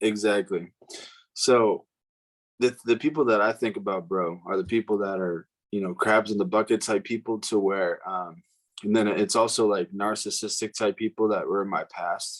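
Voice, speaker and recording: Soft-spoken and at a moderate pace, the voice keeps a fairly even intonation, with a dry, close sound with no echo over a quiet background. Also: man, fairly low pitch for a man. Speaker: podcast co-host. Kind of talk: casual chat.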